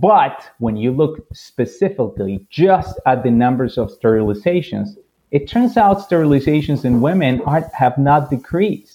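A man with a Spanish accent speaks at a fairly high pitch in a dark, mellow tone. His pitch swings very widely at a moderate pace, with hardly any pauses. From Colombia. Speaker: physician. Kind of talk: interview.

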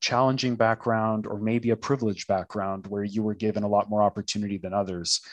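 With a Canadian accent, a man in a plain, everyday voice speaks at a fairly quick pace and a fairly low pitch. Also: very clean recording, silent background. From Canada, Toronto. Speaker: corporate learning and development director. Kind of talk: interview conversation.

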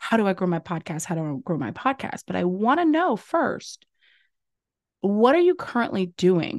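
With an American accent, a woman speaks in a medium pitch with an animated tone and very wide pitch swings. The sound is dry and close with no echo against a quiet background. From US South, Louisiana. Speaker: podcast agency owner and host. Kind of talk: solo podcast monologue, motivational.

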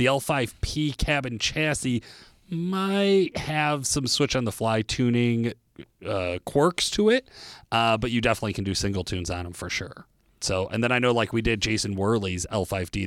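A man with an unremarkable speaking voice, medium pitch, lively intonation and a moderate pace, in a very clean recording with a silent background. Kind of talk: infomercial-style sponsor read, scripted product pitch. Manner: brisk, polished salesman delivery, upbeat and spec-heavy; urgent call-to-action close.

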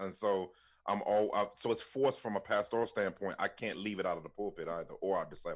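On a very clean recording with a silent background, a man with an ordinary speaking voice and an American accent talks at a fairly quick pace, with a fairly low pitch and fairly even intonation. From Washington, D.C. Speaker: pastor and author. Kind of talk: podcast interview.

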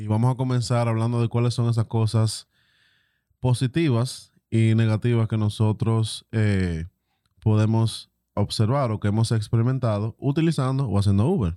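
A man with a Dominican accent and a medium-pitched, dark, mellow tone speaks at a moderate pace with ordinary pitch variation, on a very clean recording with a silent background and dry, close sound with no echo. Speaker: podcast co-host. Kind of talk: casual chat.

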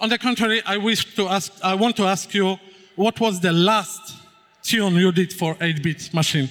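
With a Polish accent, a man projects a raised voice that is high for a man, bright and sharp in tone, keeping a moderate pace and ordinary pitch variation. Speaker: panel moderator. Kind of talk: stage interview. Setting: stage with audience.

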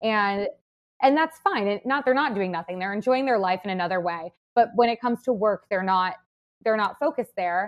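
This woman has a plain, everyday voice at a medium pitch, with an American accent. Her intonation is lively and her pace fairly quick. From US Midwest, Madison, Wisconsin. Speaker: content creator and wellness entrepreneur. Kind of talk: casual interview chat.

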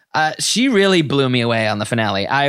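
Speaking at a moderate pace and medium pitch, the man has an ordinary speaking voice with lively intonation. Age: 30s. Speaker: podcast host. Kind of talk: casual chat.

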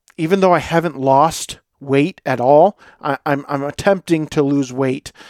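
An ordinary speaking voice moves at a fairly slow pace with fairly even intonation. The sound is dry and close, with no echo. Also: man. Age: 40s. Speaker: podcast host and lawn care business owner. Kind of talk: casual solo monologue.

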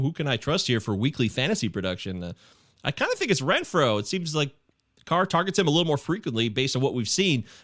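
A man talks at a very fast pace with vocal fry. His pitch swings very widely on a very clean recording with a silent background. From US Midwest, Michigan. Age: 40s. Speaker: fantasy sports podcaster. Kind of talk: casual chat.

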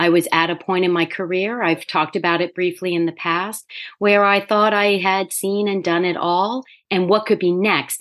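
Against a quiet background, a woman speaks at a medium pitch with fairly even intonation. It is an unremarkable speaking voice. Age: 50s. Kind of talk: casual interview chat.

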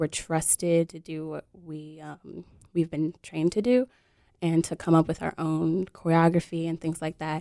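Dry and close with no echo, this recording has a woman speaking with an American accent at a moderate pace. Her tone is dark and mellow, her pitch fairly low, and her intonation monotone and flat. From Detroit, Michigan. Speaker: circus instructor and activist. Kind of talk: casual radio interview. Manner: hesitant, lots of fillers.

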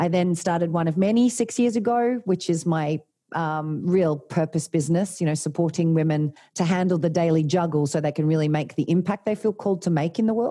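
A woman with an Australian accent talks fairly quickly in a fairly low, dark and mellow voice, keeping her loudness very even and her pitch variation ordinary. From Australia, Tasmania. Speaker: leadership coach and former doctor. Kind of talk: interview.

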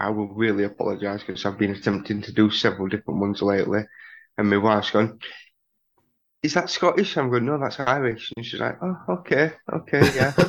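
Against a quiet background, a man talks with a Yorkshire accent. His fairly low voice moves at a fairly quick pace with lively intonation. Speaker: tabletop role-playing game master. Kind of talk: casual chat.

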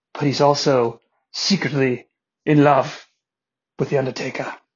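Putting on a raspy character voice with an English accent, a man speaks at a moderate pace with a medium pitch and fairly even intonation.

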